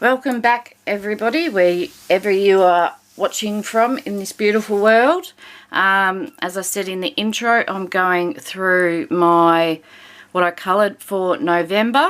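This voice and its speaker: A woman with an Australian accent speaks at a medium pitch and a fairly slow pace. Her intonation is lively. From Victoria, Australia. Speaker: colouring hobby vlogger. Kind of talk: casual chat. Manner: hesitant, many fillers.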